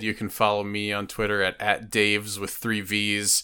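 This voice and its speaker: A man with a fairly low pitch and a bright, sharp tone speaks at a fairly slow pace, captured in a very clean recording with a silent background. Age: 30s. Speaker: podcast host. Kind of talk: casual chat.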